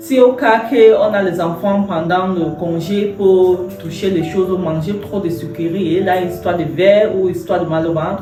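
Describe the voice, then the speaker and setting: Noticeable background noise and audible room echo accompany a woman with a medium pitch and ordinary pitch variation. She speaks at a fairly slow pace with hardly any pauses. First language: English (speaking French). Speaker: entrepreneur and health product seller. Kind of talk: product presentation. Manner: halting, many hesitations.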